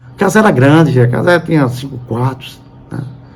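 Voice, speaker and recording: Moderate pace from a man with ordinary pitch variation, plus audible room echo. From Brazil, Sergipe (Aracaju). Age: 70s. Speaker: journalist. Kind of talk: interview testimony. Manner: halting.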